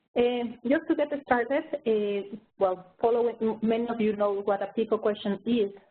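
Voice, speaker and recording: Here is a woman with an ordinary speaking voice and a fairly high pitch. Her intonation is fairly even and her pace moderate. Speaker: research director presenting a review. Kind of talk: webinar presentation. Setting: online webinar.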